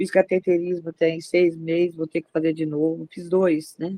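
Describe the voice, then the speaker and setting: A woman speaks fairly slowly in a fairly low, dark and mellow voice with flat, monotone intonation. The sound is dry and close, with no echo. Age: 60s. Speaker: worshipper. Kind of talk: testimony. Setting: video call.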